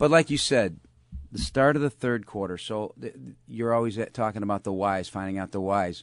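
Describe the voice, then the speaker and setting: A normal speaking voice from a man, fairly low in pitch, with lively intonation, big swings in loudness and a fairly quick pace against a quiet background. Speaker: radio host. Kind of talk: radio show interview. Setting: studio.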